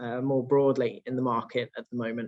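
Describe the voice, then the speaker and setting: A man speaks with a British accent. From UK. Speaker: real estate executive. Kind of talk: conference presentation. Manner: hesitant fillers, frequent uh and um.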